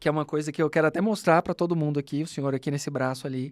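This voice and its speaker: Fairly high in pitch with ordinary variation, a man's voice comes through dry and close with no echo, in a very clean recording with a silent background. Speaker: podcast host, law professor and lawyer. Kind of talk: casual chat. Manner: fast.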